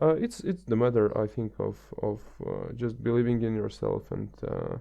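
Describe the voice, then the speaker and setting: The pace stays moderate. He is a man with a non-native accent. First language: not English. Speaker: podcast guest. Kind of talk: casual chat. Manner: halting, many fillers.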